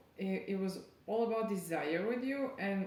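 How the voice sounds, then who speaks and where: Background noise is noticeable. There is audible room echo too. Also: woman. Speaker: tarot reader. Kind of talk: channeled tarot reading. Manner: halting.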